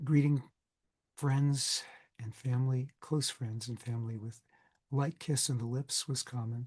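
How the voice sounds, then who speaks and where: Speaking at a very slow pace, a man sounds somewhat breathy. His pitch is medium and his intonation monotone and flat. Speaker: Bible scholar, lecturer. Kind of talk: recorded class lecture.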